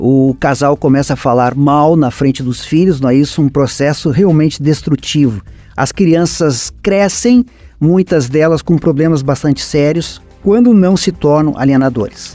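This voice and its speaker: Speaking fairly slowly with very even loudness, a man uses a fairly high pitch and a dark, mellow tone with ordinary pitch variation. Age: 60s. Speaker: lawyer, journalist and environmentalist. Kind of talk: radio interview.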